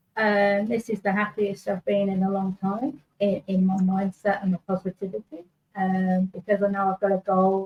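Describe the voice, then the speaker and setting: A woman talks in a monotone, flat intonation with a somewhat breathy voice and hardly any pauses, the sound dry and close with no echo. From Manchester, northern England. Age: 50s. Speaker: online business owner, guest. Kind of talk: testimony. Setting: live stream. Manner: halting.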